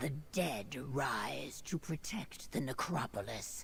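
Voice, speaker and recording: Clear background noise under a put-on character voice. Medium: video game. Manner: stern, clipped, formal.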